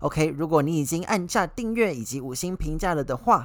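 A man with an ordinary speaking voice, lively intonation, and a fairly quick pace. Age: 20s. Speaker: podcast host. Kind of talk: solo podcast monologue. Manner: casual, conversational.

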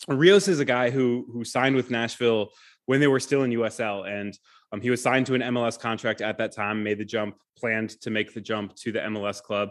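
In a normal speaking voice, a man with an American accent talks at a fairly quick pace. His pitch is medium with ordinary variation, and the background is quiet. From Michigan, US Midwest. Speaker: sports journalist. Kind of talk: casual interview.

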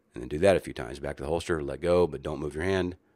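A man speaks with vocal fry and fairly even intonation. The recording is very clean, with a silent background. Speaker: competitive shooting instructor and podcast host. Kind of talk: casual monologue. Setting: at the shooting range.

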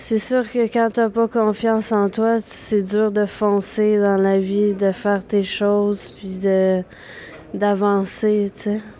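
A woman at medium pitch speaks very slowly in a flat monotone, with noticeable background noise behind her. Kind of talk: interview testimony.

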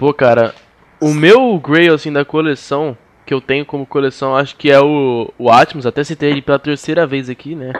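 A man talks in an unremarkable speaking voice with a fairly high pitch and fairly even intonation. His moderate pace comes through with a dry, close sound and no echo. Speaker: podcast host. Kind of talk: casual chat.

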